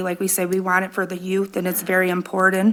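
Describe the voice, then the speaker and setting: Against noticeable background noise, a woman's voice holds a medium pitch. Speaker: city council member. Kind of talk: council meeting remarks. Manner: loud.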